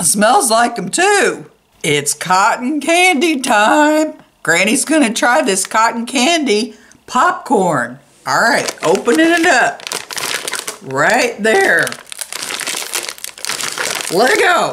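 A woman puts on a character voice, fairly high-pitched and fairly bright in tone. She speaks slowly with big pitch swings and long, frequent pauses.

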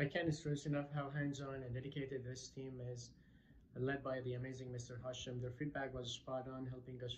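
A somewhat breathy man speaks in a flat monotone. Light background noise can be heard. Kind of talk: testimonial monologue. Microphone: phone near.

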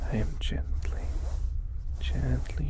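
Against noticeable background noise, a soft-spoken voice whispers. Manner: slow, soft whispered character voice.

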